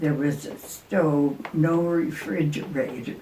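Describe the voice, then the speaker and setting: A woman speaks at a very slow pace with a very deep, low pitch and ordinary pitch variation, over noticeable background noise. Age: 80s+. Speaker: retired RV traveler. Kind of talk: casual chat. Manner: halting.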